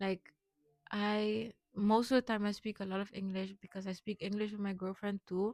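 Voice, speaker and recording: With a Curaçao accent, a woman talks at a moderate pace in a monotone, flat intonation. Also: dry, close sound with no echo. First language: Papiamento. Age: 20s. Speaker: vlogger. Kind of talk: personal vlog monologue.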